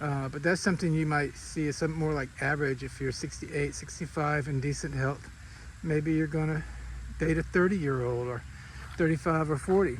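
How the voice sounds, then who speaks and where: A man speaks at a fairly quick pace in a fairly high, somewhat breathy voice. His intonation stays fairly even. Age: 60s. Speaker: vlogger. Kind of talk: casual vlog monologue. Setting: outdoors, walking.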